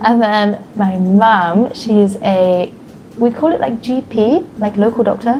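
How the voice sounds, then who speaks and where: A woman with a southern British accent, fairly high pitch, ordinary pitch variation and a fairly slow pace, over noticeable background noise. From England. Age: 20s. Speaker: English conversation partner. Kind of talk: casual conversation practice.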